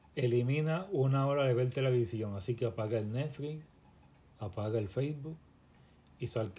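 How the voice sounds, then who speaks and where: Here a man talks with a dark, mellow tone. His voice sounds somewhat breathy. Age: 40s. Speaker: fitness coach. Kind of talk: podcast monologue.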